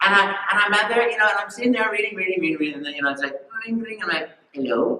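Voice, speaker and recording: A man speaks in an enthusiastic tone. Noticeable background noise runs beneath him. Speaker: voice actor. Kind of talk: convention panel talk. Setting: live convention hall. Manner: enthusiastic, storytelling.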